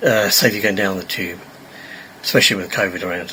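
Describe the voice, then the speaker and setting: Noticeable background noise accompanies a man speaking. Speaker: train travel vlogger. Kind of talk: casual vlog narration. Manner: halting, many fillers.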